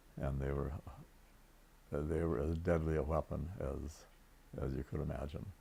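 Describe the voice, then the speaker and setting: With a very deep, low pitch and a dark, mellow tone touched by vocal fry, a man talks at a moderate pace with long, frequent pauses. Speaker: World War Two navy veteran, naval electrician. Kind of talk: interview answer.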